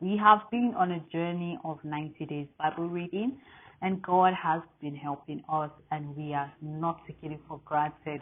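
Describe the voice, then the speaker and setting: In an African accent, a woman speaks at a fairly low pitch with ordinary pitch variation. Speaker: Bible reading host. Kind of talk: welcome and prayer to viewers.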